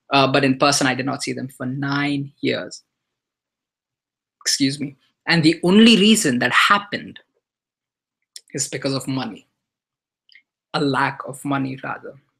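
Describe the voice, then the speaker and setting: Moderate pace, long and frequent pauses, and an Indian accent. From India (earlier childhood in Dubai). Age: 20s. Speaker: online marketer. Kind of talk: webinar presentation. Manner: hesitant, many fillers.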